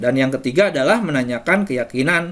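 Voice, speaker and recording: A man at a medium pitch and a very fast pace. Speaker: teacher presenting to fellow teachers. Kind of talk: webinar presentation. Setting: online webinar. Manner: firm, forceful delivery.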